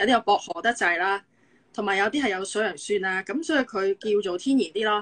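Her pace is fairly quick. This woman's pitch shifts in an ordinary way. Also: medium pitch for a woman. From Hong Kong. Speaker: physiotherapist; guest. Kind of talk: casual chat. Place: home room. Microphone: video call.

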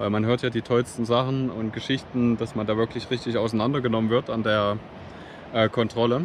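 A man talks at a fairly quick pace in a monotone, flat voice. The sound is dry with no echo, over light background noise. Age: 30s. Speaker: travel vlogger. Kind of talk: vlog tutorial. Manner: halting with frequent fillers. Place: beach. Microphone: phone near.

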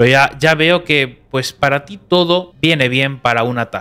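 With lively intonation and a fairly high pitch, a man speaks at a moderate pace. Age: 20s. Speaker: YouTuber. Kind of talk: reaction commentary; commentary response video. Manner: calm. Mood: calm but critical, reproachful. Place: studio. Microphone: studio mic.

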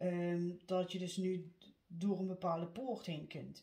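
In a room with audible echo, a woman speaks at a fairly slow pace in a fairly low, somewhat breathy voice. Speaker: card reader. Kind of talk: tarot reading monologue. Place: home room. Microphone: phone near.

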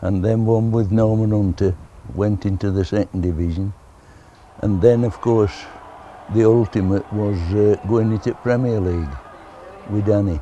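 With a Yorkshire accent, a man speaks at a moderate pace with long, frequent pauses and fairly even intonation at a fairly low pitch. Light background noise sits under a dry sound with no echo. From Barnsley, Yorkshire. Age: 80s+. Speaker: football kit man, former goalkeeper. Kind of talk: interview answer. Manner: casual, plain-spoken.

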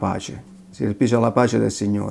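At a moderate pace, a man speaks in a dark, mellow tone against a quiet background. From southern Italy. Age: 50s. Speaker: convert giving faith testimony. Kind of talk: testimony. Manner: halting. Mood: earnest, reflective. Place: kitchen. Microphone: camera far.

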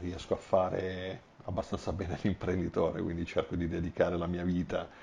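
Somewhat breathy and very deep, a man's low voice moves at a moderate pace with monotone, flat intonation over light background noise. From Apulia, Corato; Apulia. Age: 40s. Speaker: engineer and business owner; interviewee. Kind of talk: interview. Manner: halting. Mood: calm, reflective. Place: home room. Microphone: lapel.

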